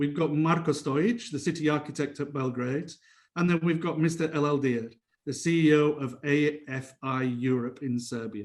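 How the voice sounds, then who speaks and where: A man with a British accent and a fairly high pitch speaks with ordinary pitch variation amid audible room echo. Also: moderate pace. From England. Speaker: lawyer and panel moderator. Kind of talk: conference panel moderation.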